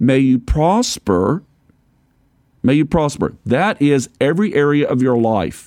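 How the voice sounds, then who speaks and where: This man has a plain, everyday voice, fairly high in pitch, with lively intonation, a fairly slow pace and very even loudness. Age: 60s. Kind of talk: sermon.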